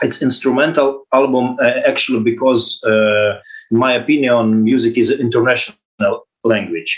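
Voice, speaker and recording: A man with a non-native accent speaks at a moderate pace in a medium pitch, with ordinary pitch variation and very even loudness. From Ukraine. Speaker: guitarist. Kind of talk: interview. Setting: video call. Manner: halting.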